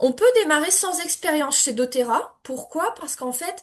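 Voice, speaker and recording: The speaker goes at a fairly slow pace. Pitch variation is ordinary. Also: woman. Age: 40s. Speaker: energy healer and essential oils seller. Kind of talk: sales pitch. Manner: hesitant, frequent fillers.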